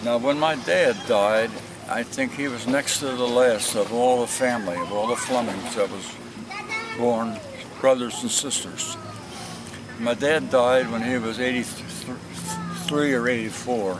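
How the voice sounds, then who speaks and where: Noticeable background noise sits behind a man with a medium pitch. He talks at a fairly slow pace with ordinary pitch variation. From New Jersey. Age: 80s+. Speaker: elderly man recounting his life. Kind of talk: oral history interview. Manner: halting.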